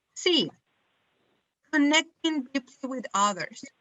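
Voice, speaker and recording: A woman speaks very slowly at a high pitch with a strong non-native accent. Her pitch swings very widely. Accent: strong foreign. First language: not English. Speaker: webinar presenter on self care. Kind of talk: webinar presentation. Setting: online webinar.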